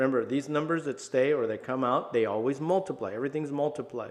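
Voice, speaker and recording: A man talks at a fairly quick pace in a plain, everyday voice, fairly high in pitch. The background is quiet. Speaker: math teacher. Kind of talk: tutorial. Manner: casual.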